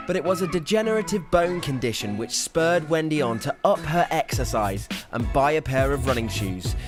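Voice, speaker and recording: With music in the background, a man of fairly high pitch talks fairly quickly, his pitch swinging very widely. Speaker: TV presenter. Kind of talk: TV feature voiceover and interviewer.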